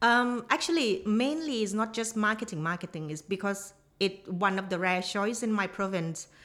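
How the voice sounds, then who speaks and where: A woman with a Thai accent at a moderate pace, with hardly any pauses. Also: medium pitch for a woman, ordinary pitch variation. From southern Thailand (Nakhon Si Thammarat). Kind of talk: casual chat. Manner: halting.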